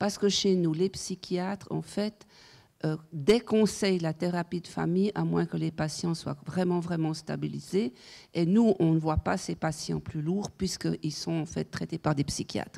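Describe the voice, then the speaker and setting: With a dark, mellow tone and fairly low pitch, a woman talks at a fairly slow pace with ordinary pitch variation. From French-speaking Switzerland. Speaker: psychiatrist. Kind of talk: conference talk. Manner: halting.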